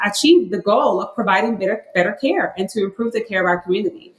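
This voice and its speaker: Noticeable background noise runs under this recording. A woman speaks at a medium pitch and a fairly quick pace. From Puerto Rico. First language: Spanish. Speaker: health researcher. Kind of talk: podcast interview.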